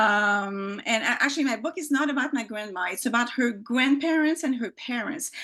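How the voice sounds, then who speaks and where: A woman speaks with a French accent. Her voice is high, with lively intonation. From Quebec, Montreal. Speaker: author, former journalist. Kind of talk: casual interview. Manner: halting, many fillers and restarts.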